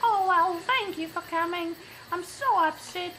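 A cartoonish character voice speaks at a moderate pace over clear background noise. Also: female-sounding voice, extremely high pitch for a woman.

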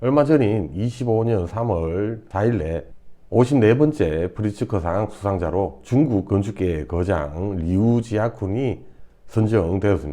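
At a very slow pace, a man speaks with a fairly low pitch, a dark, mellow tone and lively intonation against a quiet background. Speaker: architect and educational video host. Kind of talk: scripted narration. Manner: formal.

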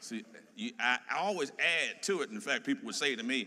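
A man speaks in a raised, projected voice with very wide pitch swings. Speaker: pastor. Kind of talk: sermon. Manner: animated.

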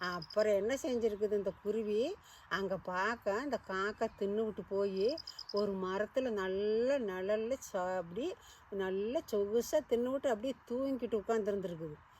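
A woman speaks at a fairly high pitch with a Kongu accent. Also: ordinary pitch variation. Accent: Kongu Tamil. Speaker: storyteller. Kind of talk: folk story told to children. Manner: casual, conversational.

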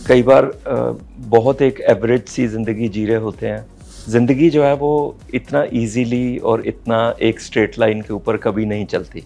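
Faint music plays in the background. A man speaks at a fairly slow pace. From Punjabi family, India. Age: 60s. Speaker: fashion model and actor. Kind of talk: interview answer. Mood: reflective, candid about depression. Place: home room. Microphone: lapel.

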